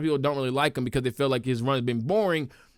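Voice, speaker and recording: Recorded very cleanly against a silent background, a man speaks at a fairly high pitch with ordinary pitch variation. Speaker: wrestling commentator. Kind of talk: casual solo livestream talk. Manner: animated.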